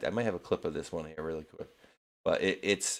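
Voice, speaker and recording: In a New England accent, a man speaks on a very clean recording with a silent background. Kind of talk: casual, conversational.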